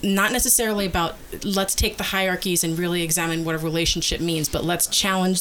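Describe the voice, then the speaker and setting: A woman talking at a very fast pace over noticeable background noise. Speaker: podcast host. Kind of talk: casual chat, bantering patter like a radio DJ. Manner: bubbly, chatty, hosty.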